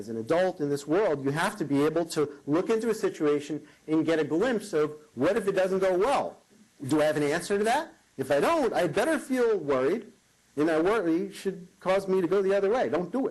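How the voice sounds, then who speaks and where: This man has an American accent and a high pitch. He talks at a fairly quick pace with very wide pitch swings. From New York. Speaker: motivational keynote speaker. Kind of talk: keynote speech. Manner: animated.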